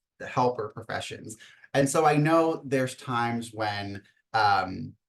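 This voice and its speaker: Fairly slow and at a medium pitch, a man talks in an ordinary speaking voice, with big swings in loudness. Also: ordinary pitch variation. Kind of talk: webinar presentation.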